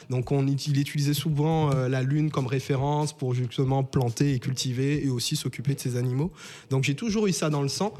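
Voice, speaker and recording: A man's fairly high pitch and dark, mellow tone, with fairly even intonation at a moderate pace. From Saint-Martin, Caribbean. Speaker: entrepreneur. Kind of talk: interview. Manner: halting.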